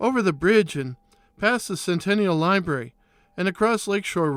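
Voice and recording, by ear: A natural voice reads the text aloud.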